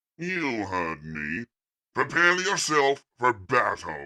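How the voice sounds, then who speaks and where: A man performs a put-on character voice. He goes at a very slow pace with very wide pitch swings. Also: medium pitch for a man. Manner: calm, cold, commanding.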